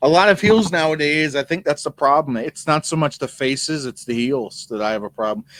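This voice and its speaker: A man with a plain, everyday voice and a fairly high pitch speaks at a fairly quick pace with hardly any pauses. His intonation is lively, and the sound is dry and close, with no echo. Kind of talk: casual podcast conversation.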